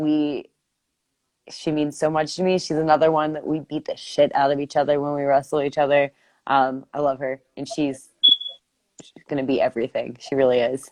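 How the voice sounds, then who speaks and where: In an American accent, a woman with a very deep, low pitch talks in a flat monotone while her loudness swings widely. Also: moderate pace. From Pittsburgh area, Pennsylvania. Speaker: professional wrestler. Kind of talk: casual interview. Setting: Instagram live video.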